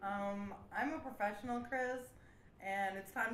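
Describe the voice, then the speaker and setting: With an American accent and ordinary pitch variation, the voice sits among noticeable background noise and audible room echo. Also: woman. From Milwaukee, Wisconsin. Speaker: comedy radio show host. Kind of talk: comedy sketch and interview. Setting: studio.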